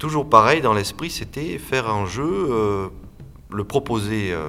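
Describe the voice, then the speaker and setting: A man speaks in a bright, sharp tone with very wide pitch swings. The room echo is audible. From south-west France, Landes. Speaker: audio saga creator and game designer. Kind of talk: interview. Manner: halting, with many repetitions.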